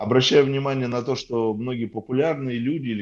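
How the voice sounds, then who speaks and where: A man's plain, everyday voice at medium pitch, at a fairly quick pace with ordinary pitch variation. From Soviet Union. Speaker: podcaster. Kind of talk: casual chat.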